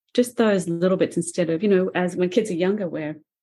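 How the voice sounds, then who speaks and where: Background music accompanies the recording. A woman speaks at a fairly quick pace. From Australia. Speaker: painter and author. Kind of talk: podcast interview.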